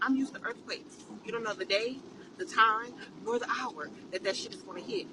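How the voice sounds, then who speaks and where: Animated in tone, a woman speaks at a high pitch and a moderate pace. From California. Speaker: social media poster. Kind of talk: casual rant to camera.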